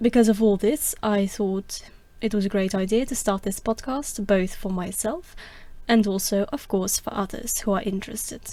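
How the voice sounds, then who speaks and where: A woman with a non-native accent talks at a moderate pace in a medium pitch, her tone dark and mellow and her intonation fairly even, on a very clean recording with a silent background. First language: not English. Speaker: podcaster, classics student. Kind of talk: podcast monologue.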